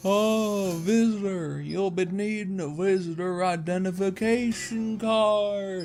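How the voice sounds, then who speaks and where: A man's put-on character voice, high-pitched, at a fairly slow pace with hardly any pauses. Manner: polite, bureaucratic.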